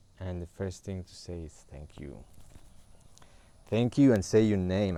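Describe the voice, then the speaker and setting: With a Spanish accent, a man speaks in a very deep, low voice of dark, mellow tone and ordinary pitch variation. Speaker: spiritual guide. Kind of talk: livestream spiritual talk. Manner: halting.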